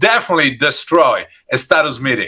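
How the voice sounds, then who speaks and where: A man with an Italian accent, high-pitched, bright and sharp, animated in tone, at a moderate pace. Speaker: leadership trainer. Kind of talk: interactive workshop.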